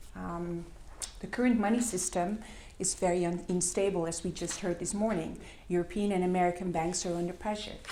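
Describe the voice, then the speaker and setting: A woman with a fairly low pitch and a dark, mellow tone talks at a fairly quick pace. Her intonation is fairly even, and the room echo is audible. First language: Dutch. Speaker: complementary currency project worker. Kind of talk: conference presentation. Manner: halting, many fillers.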